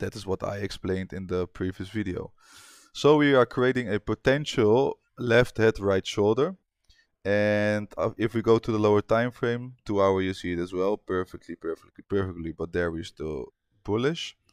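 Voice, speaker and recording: In a very clean recording with a silent background, a man's voice comes through dry and close with no echo, showing ordinary pitch variation. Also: fairly low pitch for a man, moderate pace. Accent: non-native. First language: not English. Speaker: forex trader. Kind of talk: trading tutorial. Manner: casual, with hesitations.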